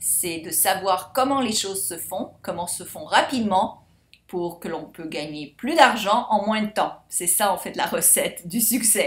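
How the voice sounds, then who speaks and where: With a medium pitch and a somewhat breathy quality, a woman talks in an animated tone at a fairly slow pace with big swings in loudness. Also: ordinary pitch variation. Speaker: life coach and course seller. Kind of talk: sales pitch.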